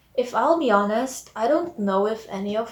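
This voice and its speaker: Through noticeable background noise, a woman with a fairly high pitch speaks at a moderate pace. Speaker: vlogger. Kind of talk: casual storytime vlog. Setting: at home late at night. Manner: quiet, lowered voice; soft-spoken.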